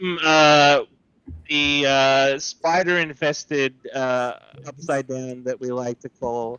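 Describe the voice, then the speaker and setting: Fairly even intonation carries the very slow delivery. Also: man, fairly high pitch for a man. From Australia (Sydney, via Melbourne). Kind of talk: casual chat.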